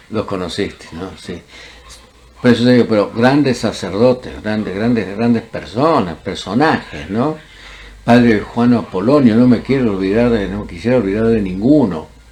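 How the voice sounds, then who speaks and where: A man talks at a moderate pace with a medium pitch and ordinary pitch variation over noticeable background noise. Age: 80s+. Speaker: former student. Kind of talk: oral history interview.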